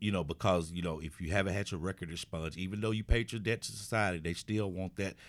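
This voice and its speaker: The recording is very clean, with a silent background. A man talks at a very fast pace in a very deep, low pitch with ordinary variation. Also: hardly any pauses. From Little Rock, Arkansas (southwest side). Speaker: pastor. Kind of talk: casual interview. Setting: studio office, also on Facebook Live. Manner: halting, frequent repetitions.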